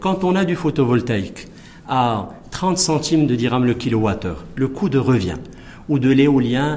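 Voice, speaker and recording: With lively intonation, a man talks at a medium pitch and moderate pace, amid noticeable background noise and audible room echo. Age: 40s. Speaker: engineer and business executive. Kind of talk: TV interview.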